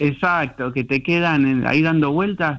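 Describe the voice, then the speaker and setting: Fairly high male voice at a fairly slow pace, ordinary pitch variation, quiet background. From Argentina, Buenos Aires southern suburbs (Lanús). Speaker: novelist. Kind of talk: radio interview. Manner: halting, many fillers.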